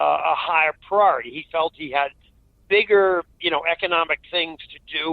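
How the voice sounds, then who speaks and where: This man has a high voice with ordinary pitch variation and talks at a moderate pace. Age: 80s+. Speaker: climate policy analyst. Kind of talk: interview. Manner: halting.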